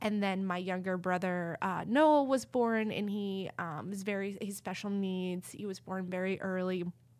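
The speaker, with an American accent, talks at a moderate pace with ordinary pitch variation and hardly any pauses. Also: woman, medium pitch for a woman. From Texas. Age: 40s. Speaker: author. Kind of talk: casual interview chat. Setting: in studio with hosts. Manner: animated, many filler words.

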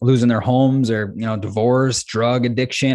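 In an unremarkable speaking voice, a man with an American accent talks at a medium pitch. The background is quiet. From US Midwest, central Minnesota. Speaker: former pro snowboarder, real estate investor. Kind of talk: interview.

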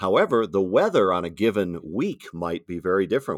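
A man with an American accent has an unremarkable speaking voice, fairly low in pitch with ordinary variation. The recording is very clean with a silent background and a dry, close sound with no echo. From Wisconsin, US Midwest. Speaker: TV meteorologist. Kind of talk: interview.

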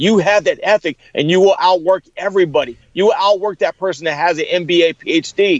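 A high-pitched man's voice at a moderate pace, with hardly any pauses. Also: ordinary pitch variation. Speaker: motivational speaker. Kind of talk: interview. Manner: animated.

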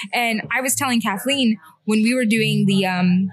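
A woman speaks with an American accent and a somewhat breathy voice. Her pitch variation is ordinary. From Alvin, Texas (Houston area). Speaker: hairdresser and runner. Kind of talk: casual chat.

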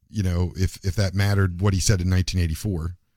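A man's very deep, low voice, dark and mellow, somewhat breathy, at a fairly quick pace in a very clean recording with a silent background. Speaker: podcast host. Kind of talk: casual political talk show. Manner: rambling, repeats words.

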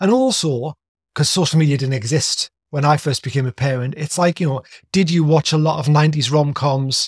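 In a very clean recording with a silent background and a dry, close sound with no echo, a man talks fairly quickly in a somewhat breathy, fairly high voice with ordinary pitch variation. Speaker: podcast host. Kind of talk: casual interview chat.

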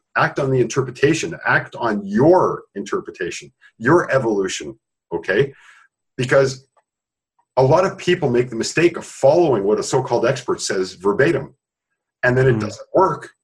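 A man with a fairly high pitch speaks somewhat breathily, his intonation lively and his pace moderate. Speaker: sound therapy creator. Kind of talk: interview. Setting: webinar.

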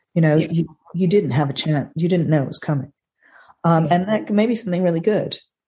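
Husky and somewhat breathy, a woman's fairly low voice with a dark, mellow tone races along at a very fast pace with ordinary pitch variation. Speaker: astrologer co-host.

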